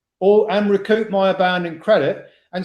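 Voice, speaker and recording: High pitch for a man, paired with a dark, mellow tone. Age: 60s. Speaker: financial whistleblower and community founder. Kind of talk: podcast interview. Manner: animated.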